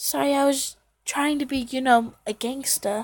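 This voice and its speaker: A woman puts on a character voice, pitched high, and speaks at a moderate pace. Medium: read story.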